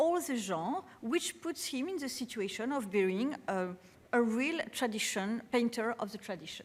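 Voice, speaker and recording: With a French accent, a woman speaks at a fairly high pitch and a fairly slow pace. Her pitch swings are very wide. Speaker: art curator. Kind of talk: lecture. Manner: halting, many fillers.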